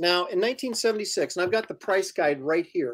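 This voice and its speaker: In an American accent, a man speaks high-pitched at a fairly slow pace. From US Pacific Northwest. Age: 50s. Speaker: comic book artist and live show host. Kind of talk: casual chat and interview. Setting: live video stream.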